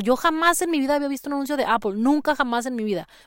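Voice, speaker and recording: A woman speaks with very wide pitch swings. The recording is very clean, the background silent. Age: 30s. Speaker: podcast host, marketing consultant. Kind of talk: casual tutorial. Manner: conversational, with frequent fillers.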